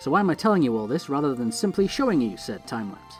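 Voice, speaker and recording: Music plays behind a man who speaks at a very fast pace with very wide pitch swings. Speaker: let's play YouTuber. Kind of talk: gameplay commentary. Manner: casual, chatty.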